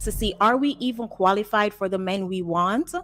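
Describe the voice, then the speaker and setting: A woman is speaking. Her pace is moderate, with ordinary pitch variation. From Jamaica. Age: 30s. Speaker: caller. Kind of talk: casual chat.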